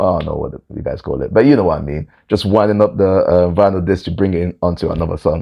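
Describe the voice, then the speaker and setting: A man speaks with a London accent in a very deep, low pitch. His pace is very fast. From London, England. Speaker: vlogger. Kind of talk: personal storytelling monologue.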